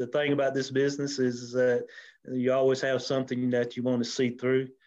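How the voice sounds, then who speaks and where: At a moderate pace, a man with a South Carolina accent speaks in a medium pitch with monotone, flat intonation. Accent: Southern US (South Carolina). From US South, upstate South Carolina (Anderson). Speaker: mayor and insurance agent. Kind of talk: interview. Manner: halting, many fillers.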